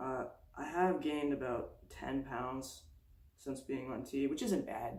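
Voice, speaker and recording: Audible room echo surrounds a voice with vocal fry and ordinary pitch variation. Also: man. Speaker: transgender vlogger. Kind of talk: casual vlog monologue. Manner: fast.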